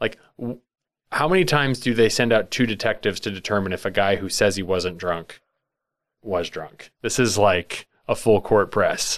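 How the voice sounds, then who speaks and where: At a moderate pace, a man with a plain, everyday voice and fairly low pitch is heard in a very clean recording with a silent background. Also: ordinary pitch variation. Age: 40s. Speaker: podcast host. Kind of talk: casual chat.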